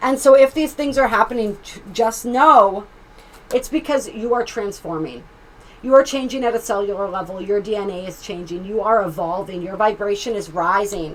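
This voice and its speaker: Against noticeable background noise, a woman's medium-pitched voice carries lively intonation and big swings in loudness. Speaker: tarot reader and astrologer. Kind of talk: tarot reading. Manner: fast; animated.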